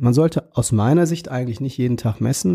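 Somewhat breathy and dark, mellow in tone, a man speaks at a moderate pace and medium pitch with ordinary pitch variation. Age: 40s. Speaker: pediatrician. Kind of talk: interview.

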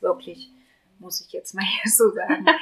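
A woman talks at a moderate pace. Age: 30s. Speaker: patient sharing fertility treatment experience. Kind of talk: casual group conversation, personal testimony.

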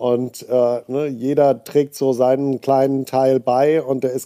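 A man speaks at medium pitch in a dark, mellow tone. The sound is dry and close, with no echo. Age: 40s. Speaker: head of a software engineering school. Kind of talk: interview. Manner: hesitant, many filler sounds.

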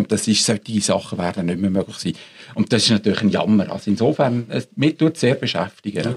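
Speaking at a very fast pace, a man with a fairly low pitch comes through in a dry, close recording with no echo. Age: 60s. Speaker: ethics professor. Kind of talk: panel discussion.

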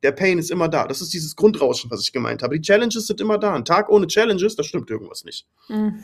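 A man talks at a very fast pace. His voice is high-pitched, with lively intonation. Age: 30s. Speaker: agency owner and business consultant. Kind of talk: casual chat.

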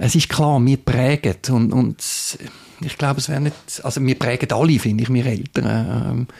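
A man with vocal fry talks at a medium pitch and a moderate pace, his pitch varying in an ordinary way. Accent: Swiss German. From Switzerland, Zurich Oberland. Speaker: church youth and children's worker. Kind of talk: interview. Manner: halting, many fillers.

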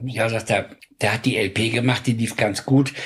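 A man with a northern German accent talks at a moderate pace and a medium pitch, with noticeable background noise behind him. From Hamburg, northern Germany. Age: 70s. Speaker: music producer. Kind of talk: interview storytelling.

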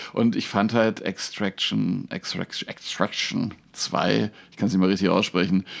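A man with vocal fry at a moderate pace, in a very clean recording with a silent background. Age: 50s. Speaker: magician and comedian. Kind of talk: casual chat.

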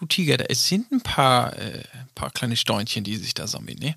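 A man with an ordinary speaking voice talks at medium pitch and moderate pace in a dry, close sound with no echo. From northern Germany. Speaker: podcast co-host. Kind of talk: casual chat.

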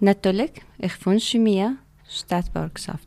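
At a very slow pace, a woman with a non-native accent speaks with ordinary pitch variation in a dry, close sound with no echo. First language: not German (speaking German). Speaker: migrant mother, workshop participant. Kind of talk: interview question. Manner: halting.

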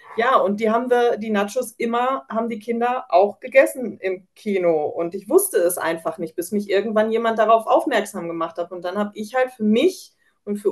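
With lively intonation and a fairly high pitch, a woman speaks at a moderate pace in an unremarkable speaking voice. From Germany, North Rhine-Westphalia. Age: 30s. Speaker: home baker, mother of children with coeliac disease. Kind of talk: casual interview. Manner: many filler sounds (ähm).

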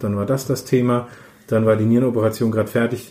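Dark, mellow tone from a man, medium in pitch, the intonation flat and monotone. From Middle Franconia, Nuremberg. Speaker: paediatrician. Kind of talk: interview.

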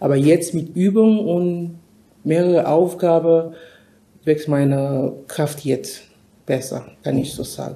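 A woman's fairly low, dark, mellow voice with a non-native accent, at a very slow pace with long, frequent pauses and ordinary pitch variation. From Cameroon. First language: not German (speaking German). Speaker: nurse. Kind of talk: interview.

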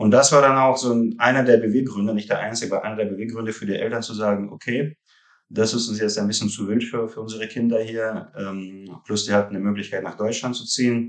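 In a monotone, flat delivery, a man with a medium-pitched voice talks at a very fast pace. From Russia (Rostov-on-Don), moved to Hamburg at 13. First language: Russian (speaking German). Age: 30s. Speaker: founder of a fund reporting firm. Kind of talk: interview. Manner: halting, many fillers.

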